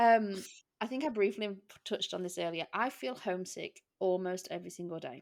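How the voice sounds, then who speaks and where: A woman speaks at a fairly quick pace with an English accent. Her medium-pitched voice has ordinary pitch variation, on a very clean recording with a silent background. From England. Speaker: podcast host. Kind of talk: casual chat.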